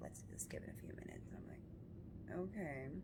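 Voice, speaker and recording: A woman whispers at a fairly quick pace amid noticeable background noise and audible room echo. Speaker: vlogger. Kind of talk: casual vlog storytelling. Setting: hospital room. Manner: whispering, quiet.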